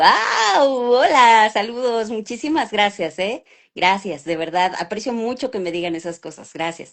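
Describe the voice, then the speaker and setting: Her pitch is fairly high and her intonation lively as this woman speaks at a fairly slow pace. Her loudness swings widely. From Mexico City. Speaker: voice actress. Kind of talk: interview. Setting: live stream video call.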